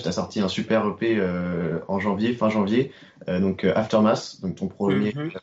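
A man talks at a fairly slow pace over noticeable background noise. His pitch is fairly low, with ordinary variation. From Brittany, France (Rennes). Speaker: podcast co-host. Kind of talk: interview. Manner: hesitant.

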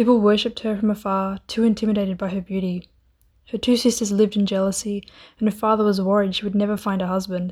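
A playful woman with a dark, mellow tone, medium pitch and monotone, flat intonation at a very fast pace, on a very clean recording with a silent background. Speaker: student editor retelling a myth. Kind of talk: scripted fairy-tale myth narration with wry modern asides. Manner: storyteller's flow, playful and dryly humorous, with sarcastic quips; chatty, casual and laughing, modern slang.

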